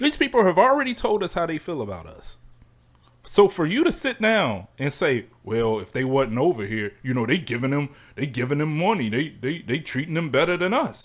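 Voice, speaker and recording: On a very clean recording with a silent background, a loud man with vocal fry speaks at a moderate pace and a fairly high pitch for a man, with very wide pitch swings. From Chicago, US. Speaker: podcast host. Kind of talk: solo podcast rant. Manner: stammering repetitions.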